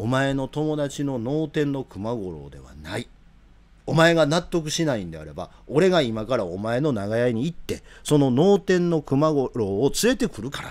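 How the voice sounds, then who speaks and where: The voice moves at a moderate pace. Its pitch swings very widely and its loudness shifts in big swings. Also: man. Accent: Kansai. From Japan. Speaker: political commentator. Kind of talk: live commentary. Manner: animated. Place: home room. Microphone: studio mic.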